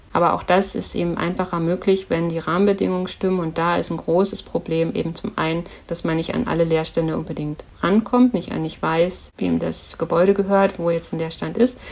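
A woman with an unremarkable speaking voice talks at a fairly quick pace and fairly low pitch, using fairly even intonation and hardly any pauses. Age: 40s. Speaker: politician and art scholar. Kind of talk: podcast interview.

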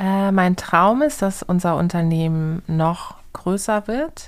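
A woman talks at a very slow pace, with a medium pitch and ordinary pitch variation. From southern Germany, Karlsruhe. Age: 30s. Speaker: entrepreneur. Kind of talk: interview answers for children. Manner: simple, friendly explanations.

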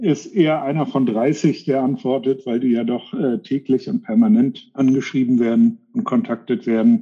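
A man speaks at a fairly high pitch and a moderate pace. His pitch swings very widely. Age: 50s. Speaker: tax firm founder and CEO. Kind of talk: interview.

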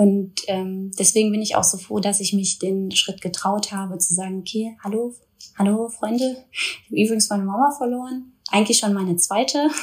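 A woman with a somewhat breathy, medium-pitched voice speaks at a moderate pace with fairly even intonation. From Ruhr area, Germany (Duisburg). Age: 20s. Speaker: influencer. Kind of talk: personal testimony in interview.

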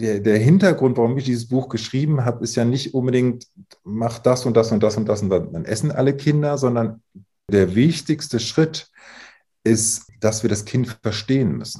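A man talks with a dark, mellow tone and a somewhat breathy quality. His pace is moderate, and his pitch varies in an ordinary way. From northern Germany, Emsland. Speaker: psychologist. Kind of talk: interview.

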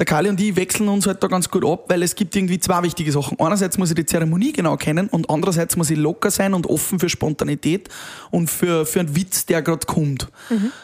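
A man speaks at a very fast pace in a high voice. His loudness stays very even. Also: ordinary pitch variation. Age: 30s. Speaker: event host and DJ. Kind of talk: casual interview.

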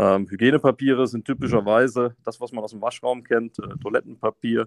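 Recorded dry and close with no echo against a quiet background, a man talks at a moderate pace and medium pitch with monotone, flat intonation. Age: 30s. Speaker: company managing director. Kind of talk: interview. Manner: hesitant, repeats words.

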